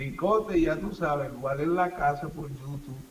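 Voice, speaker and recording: Audible room echo surrounds a man speaking at a fairly slow pace. His pitch is fairly high, with ordinary pitch variation. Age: 40s. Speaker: youtuber and songwriter. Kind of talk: live interview chat. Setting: live stream.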